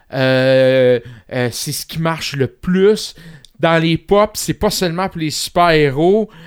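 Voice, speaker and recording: With a Quebec accent, a man talks at a very slow pace in a fairly high pitch with ordinary pitch variation. The sound is dry and close, with no echo. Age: 40s. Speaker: home care health worker. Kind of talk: casual interview. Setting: studio.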